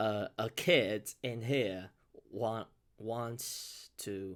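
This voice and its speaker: The speaker has a Chinese accent. The intonation stays fairly even. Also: man. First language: Mandarin Chinese. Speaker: beatboxer and reaction youtuber. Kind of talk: casual new year address to viewers. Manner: halting, many fillers and self-corrections.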